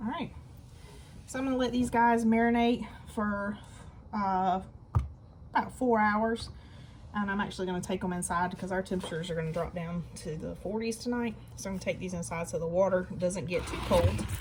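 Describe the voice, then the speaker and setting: In a room with audible echo, a woman with a somewhat breathy, medium-pitched voice talks at a fairly quick pace, leaving long, frequent pauses and varying her pitch in an ordinary way. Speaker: gardening channel host. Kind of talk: casual tutorial. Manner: soft-spoken.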